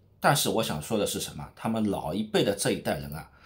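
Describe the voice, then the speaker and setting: The voice sounds animated, its pitch swinging very widely. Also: man. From Shanghai. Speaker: street vlogger. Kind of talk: vlog narration. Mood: lively, humorous. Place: home room. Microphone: phone near.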